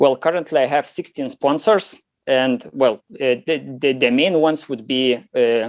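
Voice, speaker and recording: A man speaks with a Lithuanian accent at a moderate pace. His pitch is medium, with ordinary variation. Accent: unique accent, Lithuanian. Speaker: competition shooter. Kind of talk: interview. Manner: halting, many fillers.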